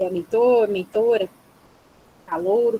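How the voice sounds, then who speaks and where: The sound is dry and close, with no echo. A woman speaks with fairly even intonation. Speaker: psychologist. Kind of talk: webinar closing remarks. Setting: video call.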